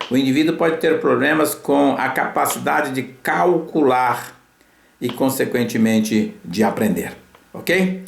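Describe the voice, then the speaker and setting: A man at a medium pitch, lively in intonation and fairly slow in pace, with audible room echo. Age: 70s. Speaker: physician and health lecturer. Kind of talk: lecture. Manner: hesitant, with filler sounds.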